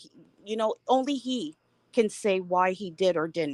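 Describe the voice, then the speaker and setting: With lively intonation, a woman speaks at a fairly high pitch in a dry, close recording with no echo. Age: 60s. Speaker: caller on live panel. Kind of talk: live panel discussion. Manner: halting, repeats words.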